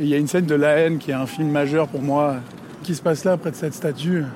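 A man talks at a moderate pace with a fairly high pitch and fairly even intonation. There is noticeable background noise. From France, Paris (5th arrondissement). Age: 30s. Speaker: film director. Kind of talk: reflective walking monologue.

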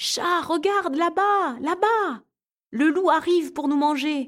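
A female-sounding, put-on character voice pitched extremely high. It moves at a fairly slow pace. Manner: frightened.

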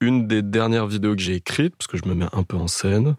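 A man speaks in an unremarkable speaking voice with ordinary pitch variation, the sound dry and close with no echo, in a very clean recording over a silent background. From Paris area (Boulogne-Billancourt). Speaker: dating podcast guest, video maker in music. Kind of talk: casual interview.

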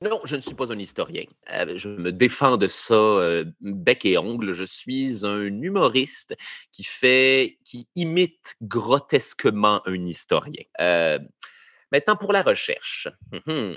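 Spoken very slowly in a Quebec accent, this voice has very wide pitch swings and big swings in loudness. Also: man, medium pitch for a man. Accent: Québécois French. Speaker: comedian. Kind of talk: interview. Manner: halting.

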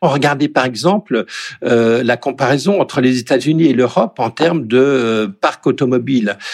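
At a moderate pace, a man with an ordinary speaking voice and medium pitch speaks with ordinary pitch variation in a dry, close sound with no echo. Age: 60s. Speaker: economist. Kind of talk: interview.

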